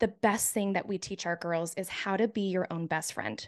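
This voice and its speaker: A woman's voice against a quiet background. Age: 30s. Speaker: youth mentorship co-founder. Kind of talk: casual chat. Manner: animated.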